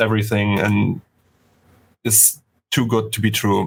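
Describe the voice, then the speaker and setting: In a German accent, a man talks at a medium pitch. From Germany. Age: 30s. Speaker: 3D artist. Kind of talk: casual interview chat. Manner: halting, many stutters and restarts.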